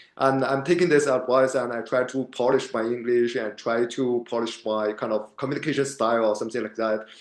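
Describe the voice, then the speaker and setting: A man with a non-native accent speaks at a fairly quick pace, medium in pitch with fairly even intonation. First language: not English. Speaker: MBA student. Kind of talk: podcast interview. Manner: halting.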